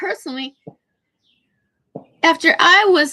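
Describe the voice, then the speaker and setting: A woman in a raised, projected voice with a bright, sharp tone speaks at a fairly slow pace. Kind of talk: casual livestream rant. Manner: emotional, agitated.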